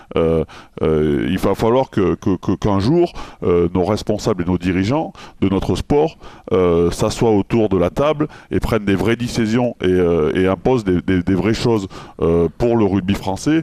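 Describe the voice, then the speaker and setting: Speaking at a fairly slow pace, a man with a very deep, low voice and a dark, mellow tone keeps very even loudness and lively intonation, recorded with a dry, close sound and no echo. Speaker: former rugby player, radio consultant. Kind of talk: radio interview answer. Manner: irritated, frustrated.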